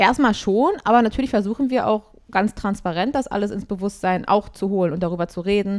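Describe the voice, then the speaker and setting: A woman talks at a fairly quick pace with hardly any pauses, in an unremarkable speaking voice. Her pitch is medium, with ordinary variation. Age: 20s. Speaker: singer and music therapist. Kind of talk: casual interview. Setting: online call.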